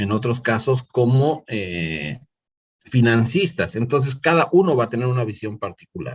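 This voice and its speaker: Somewhat breathy and medium in pitch, a man speaks at a fairly slow pace with lively intonation. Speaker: lecturer. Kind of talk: online lecture. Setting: online class platform.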